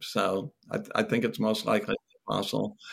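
His pitch rises and falls across a very wide range. The man's voice carries vocal fry at a moderate tempo. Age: 60s. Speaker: theologian. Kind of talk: casual interview.

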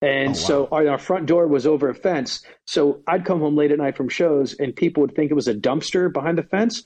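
A man with a normal speaking voice talks at a fairly quick pace and fairly high pitch, keeping very even loudness and ordinary pitch variation with hardly any pauses. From United States. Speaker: stand-up comedian. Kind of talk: casual chat.

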